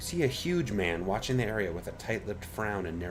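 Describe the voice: Someone does plain reading aloud here.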